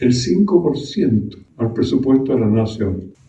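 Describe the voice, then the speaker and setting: At a fairly slow pace, a man speaks with very wide pitch swings in audible room echo. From Chile, Araucanía region. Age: 90s. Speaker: former senator, politician. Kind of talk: political speech. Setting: meeting with audience.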